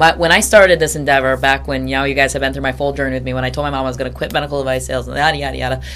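A woman speaks with a Midwestern American accent. Room echo is audible, and background noise is noticeable. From Michigan, Grand Rapids. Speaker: sports broadcaster. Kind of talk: interview. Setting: studio.

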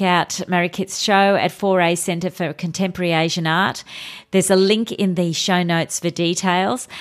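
Speaking at a moderate pace, a woman uses a plain, everyday voice at medium pitch on a very clean recording with a silent background. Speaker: podcast host, interviewer. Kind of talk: interview conversation. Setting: recorded in a garage studio with open door.

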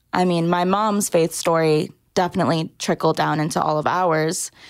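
A woman with an American accent and a fairly low pitch has an unremarkable speaking voice, with fairly even intonation at a fairly slow pace. The recording is very clean, with a silent background. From Southern California, Orange County. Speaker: church graphic designer. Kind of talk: casual interview.

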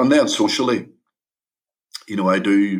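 With a Northern Irish accent, a man talks at a moderate pace, his fairly low voice carrying fairly even intonation. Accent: Derry Northern Irish. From Derry, Northern Ireland. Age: 50s. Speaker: shooting survivor and charity founder. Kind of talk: casual interview.

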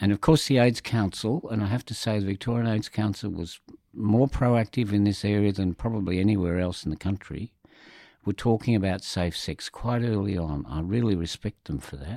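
In an Australian accent, a man speaks at a fairly quick pace and a fairly low pitch, with a dark, mellow tone, ordinary pitch variation, and a dry, close sound with no echo on a very clean recording with a silent background. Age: 70s. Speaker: HIV community advocate. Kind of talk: interview.

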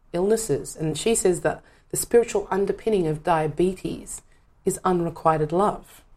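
A woman with an Australian accent talks at a moderate pace in a dark, mellow tone. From Western Sydney, Australia. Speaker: performer and teacher. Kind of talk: casual chat.

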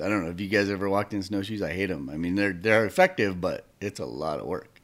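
Vocal fry marks a man's very deep, low voice on a very clean recording with a silent background. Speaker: wildlife photographer and podcast co-host. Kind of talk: casual chat. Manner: sometimes very loud.

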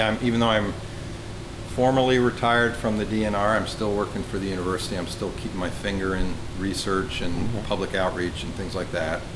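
Against noticeable background noise, a man with a fairly low voice speaks at a moderate pace and fairly even intonation. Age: old. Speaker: museum fish curator. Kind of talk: interview.

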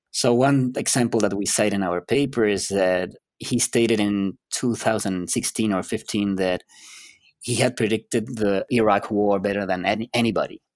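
A man's fairly low voice in a Spanish accent, moderate pace and fairly even intonation, dry and close with no echo, on a very clean recording with a silent background. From Chile. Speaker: psychology professor. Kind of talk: interview.

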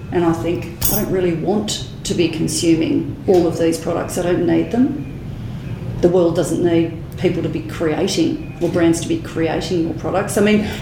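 A woman's fairly low voice comes through noticeable background noise. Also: ordinary pitch variation, moderate pace. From Australia. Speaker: podcast host. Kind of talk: interview. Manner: animated.

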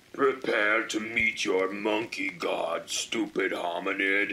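A man puts on a character voice at a medium pitch. He talks at a fairly slow pace. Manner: menacing, threatening.

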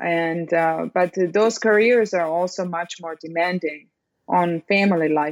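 In a Serbian accent, a woman talks at a fairly slow pace with fairly even intonation and a fairly low pitch. The sound is dry and close, with no echo. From Serbia (Belgrade). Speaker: biology professor. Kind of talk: interview. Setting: video call.

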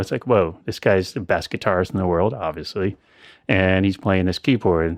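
With a Midwestern American accent, a man speaks at a moderate pace in a very deep, low voice. His intonation is fairly even, and the background is quiet. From US Midwest (central Illinois). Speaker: synth module maker. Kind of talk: interview. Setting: video call; home studio.

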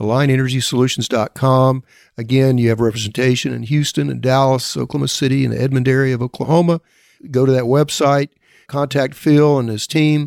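At a fairly quick pace, a man talks in a normal speaking voice of medium pitch. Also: fairly even intonation. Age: 60s. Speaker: podcast host. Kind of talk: interview.

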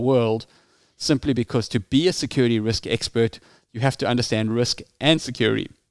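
In a very clean recording with a silent background, a man speaks at a fairly quick pace in a South African accent, his medium pitch carried by fairly even intonation. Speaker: security risk consultant. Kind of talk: interview.

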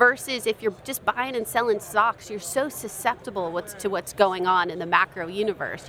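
A woman talks fairly quickly with ordinary pitch variation as noticeable background noise is heard. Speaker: investment firm marketer. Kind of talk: interview.

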